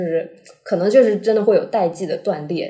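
Over noticeable background noise, a woman speaks at a moderate pace in a medium pitch with lively intonation. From Chaoshan, Guangdong. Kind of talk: casual chat. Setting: recorded together in person.

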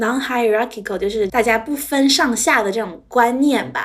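This woman has an unremarkable speaking voice, pitched fairly high. She talks at a moderate pace with ordinary pitch variation. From Shanghai, China. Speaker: business analyst. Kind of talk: casual interview chat.

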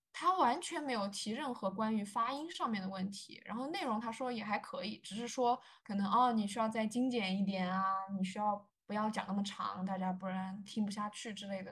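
Somewhat breathy, a woman talks at a fairly quick pace and a fairly high pitch. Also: ordinary pitch variation. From China. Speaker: journalist. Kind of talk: interview.

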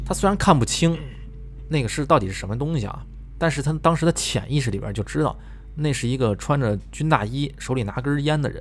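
Animated in tone, a man with a medium-pitched voice and vocal fry talks at a fairly quick pace with lively intonation. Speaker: podcast host reading listener ghost stories. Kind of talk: storytelling, reading listener submissions in casual chat.

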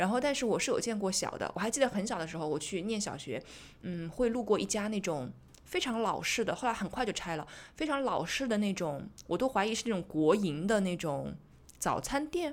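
A woman at medium pitch with very wide pitch swings and a fairly quick pace, on a very clean recording with a silent background. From Zhejiang, China. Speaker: podcast host. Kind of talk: casual chat.

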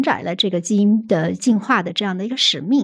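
Somewhat breathy and medium in pitch, a woman speaks fairly quickly with lively intonation on a very clean recording with a silent background. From Hunan, China. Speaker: rare disease policy researcher. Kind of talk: casual chat.

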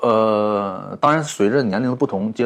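This is a man speaking with a fairly low pitch. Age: 30s. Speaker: entrepreneur, plush toy brand founder. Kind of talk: casual interview. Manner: hesitant, many fillers and repetitions.

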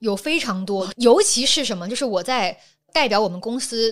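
A woman's voice, an unremarkable speaking voice, fairly high in pitch with lively intonation. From Guangdong, southern China. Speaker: social media creator and producer. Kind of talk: casual interview chat.

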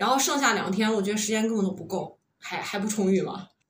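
A woman's fairly high voice at a very fast pace. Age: 30s. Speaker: podcast co-host. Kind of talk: casual chat.

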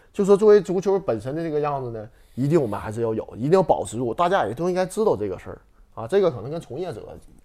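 Talking at a very fast pace, a man with a fairly high pitch and a dark, mellow tone makes very wide pitch swings and big swings in loudness. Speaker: former footballer. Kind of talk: casual chat.

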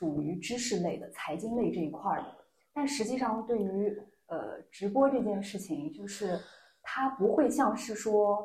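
At a fairly slow pace, a woman speaks at a medium pitch, with audible room echo around her voice. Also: lively intonation. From Lanzhou, Gansu, northwest China. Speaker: job seeker in a mock interview. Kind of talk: mock job interview. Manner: halting.

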